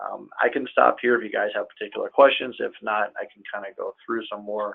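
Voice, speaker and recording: A man talks at a fairly quick pace. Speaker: accountant. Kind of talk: webinar presentation. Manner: fast.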